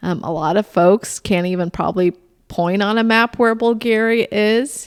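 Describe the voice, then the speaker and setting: Dry and close with no echo, a woman speaks at a moderate pace. Her pitch is fairly high, with ordinary variation. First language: Bulgarian. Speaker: political candidate. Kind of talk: podcast interview.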